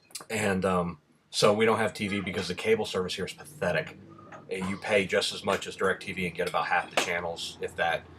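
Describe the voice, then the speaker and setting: Speech at a fairly quick pace amid noticeable background noise. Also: man. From Rhode Island. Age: 30s. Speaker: vlogger. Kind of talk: casual vlog answering questions.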